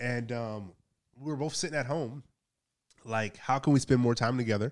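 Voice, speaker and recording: Recorded very cleanly over a silent background, a man with an American accent speaks at a medium pitch and moderate pace with ordinary pitch variation. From Los Angeles, US. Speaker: business consultant, former police officer. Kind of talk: casual interview chat.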